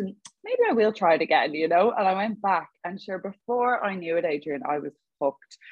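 A woman with a Dublin accent speaks at a fairly quick pace, her pitch varying in an ordinary way. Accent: Dublin Irish. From Ireland, Dublin. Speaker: online fitness coach. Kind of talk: casual interview chat. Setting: video call.

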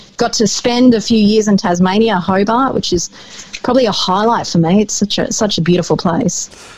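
At a fairly quick pace, a woman speaks at a medium pitch with ordinary pitch variation and very even loudness over noticeable background noise. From New Zealand, Wanganui. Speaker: radio host. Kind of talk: casual interview chat.

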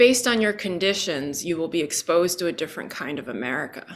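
The speaker is a woman. Her pitch falls in the medium range. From China, Shijiazhuang (left at 7), raised in New York. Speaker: lawyer and memoir author. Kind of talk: interview. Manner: halting.

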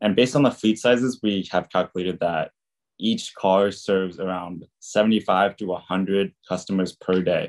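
In an unremarkable speaking voice with an American accent, a man speaks at a fairly slow pace and fairly low pitch, his intonation fairly even, the sound dry and close with no echo against a quiet background. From California. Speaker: university student. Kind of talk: student presentation.

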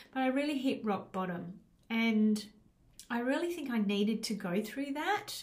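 Lively intonation carries at a moderate pace through noticeable background noise and audible room echo. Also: woman, fairly high pitch for a woman. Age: 50s. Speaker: life coach and podcast host. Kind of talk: solo podcast monologue. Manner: casual with frequent fillers.

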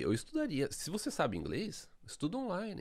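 A man talks at a fairly quick pace with very wide pitch swings and vocal fry, on a very clean recording with a silent background. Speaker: podcast host. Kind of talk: casual chat.

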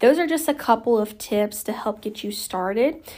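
A woman with an American accent speaks in an ordinary speaking voice, her pitch fairly high and her intonation lively. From Oklahoma. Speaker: lash studio owner and educator. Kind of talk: solo podcast tutorial. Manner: casual, filler-heavy.

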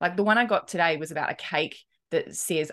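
Against a quiet background, a woman speaks with a New Zealand accent. Her pitch is fairly low and her pace fairly quick. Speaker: podcast host. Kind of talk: casual, conversational.

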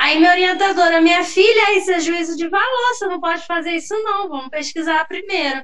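A woman's extremely high voice at a fairly quick pace with hardly any pauses, ordinary pitch variation, and noticeable background noise. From São Gonçalo, Rio de Janeiro state, Brazil. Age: 30s. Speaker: history teacher and researcher. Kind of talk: casual interview chat. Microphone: unstable connection, switched to 3G.

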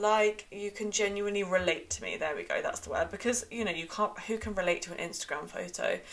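A woman speaks at a very fast pace against noticeable background noise. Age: 20s. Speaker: podcast host and coach. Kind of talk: casual monologue.

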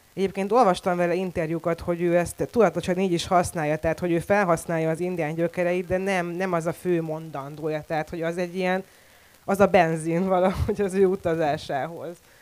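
At a fairly quick pace, a woman speaks in a fairly low, monotone voice with flat intonation. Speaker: poet and translator. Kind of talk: panel discussion. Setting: stage with audience.

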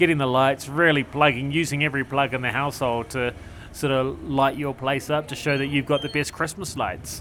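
A man with a New Zealand accent speaks at a fairly quick pace. His voice sits at medium pitch with a bright, sharp tone. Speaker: podcast host, cycle tourist. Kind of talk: casual chat. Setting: outdoors.

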